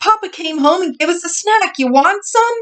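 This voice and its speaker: In a put-on character voice, a woman sounds squeaky and extremely high-pitched while keeping a moderate pace. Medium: read story. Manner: eager, excitable.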